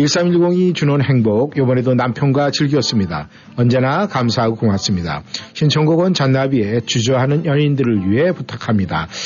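With music in the background, a man speaks at a moderate pace and medium pitch, keeping very even loudness and lively intonation. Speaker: radio host. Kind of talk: live radio show chat. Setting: radio studio.

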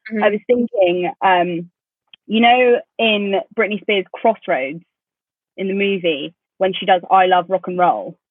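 A woman speaks with a southern English accent at a fairly slow pace. Her pitch is medium, with ordinary pitch variation. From England, London commuter area. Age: 20s. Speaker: podcast co-host. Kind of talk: casual chat. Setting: video call.

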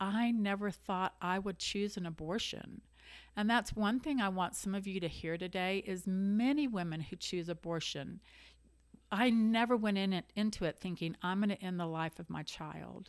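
Very clean, with a silent background, the recording captures a woman at a medium pitch. She speaks at a moderate pace with ordinary pitch variation. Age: 60s. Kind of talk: testimony.

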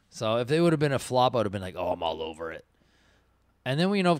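A man's voice is captured in a very clean recording with a silent background. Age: 40s. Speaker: podcast host. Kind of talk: casual chat.

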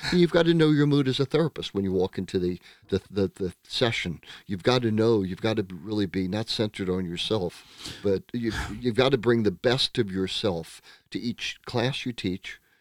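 A man's ordinary speaking voice with an American accent and lively intonation, at a moderate pace, the sound dry and close with no echo, in a very clean recording with a silent background. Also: fairly low pitch for a man. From United States. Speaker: psychotherapist. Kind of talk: casual interview.

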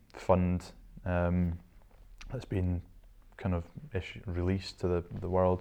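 A man's very deep, low voice with a dark, mellow tone and a Scottish accent, at a moderate pace against a quiet background. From Scotland, Shetland Islands. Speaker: entrepreneur. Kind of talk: interview.

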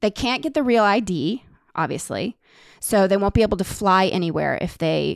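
Heard in a very clean recording with a silent background and a dry, close sound with no echo, a woman of medium pitch speaks with vocal fry and lively intonation at a moderate pace. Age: 40s. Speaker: podcast co-host and musician. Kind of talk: casual chat.

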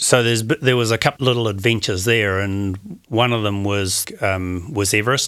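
Recorded very cleanly against a silent background, a man speaks at a moderate pace with a fairly low pitch and fairly even intonation. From New Zealand. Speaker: adventurer and skydiver. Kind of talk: casual interview. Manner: halting, many fillers.

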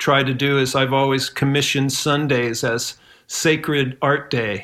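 A man with a Midwestern American accent speaks at a fairly high pitch. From Ohio, US Midwest. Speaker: musician. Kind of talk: casual chat.

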